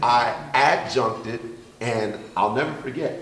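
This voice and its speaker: The man speaks very slowly, and noticeable background noise runs underneath. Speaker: college administrator and teacher. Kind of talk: panel discussion.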